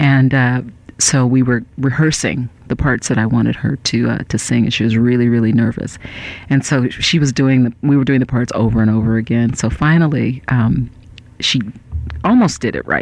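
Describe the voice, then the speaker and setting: A woman's very deep, low voice with an American accent, at a moderate pace with fairly even intonation and very even loudness, over noticeable background noise. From Northern California. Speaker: singer-songwriter. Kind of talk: radio interview. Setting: radio studio.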